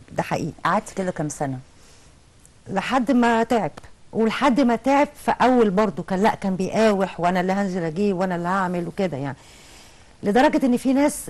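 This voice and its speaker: With lively intonation, a woman speaks at a moderate pace in a medium pitch. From Egypt. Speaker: insurance company deputy manager and mother; interview guest. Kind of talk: TV talk show interview. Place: studio. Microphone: lapel.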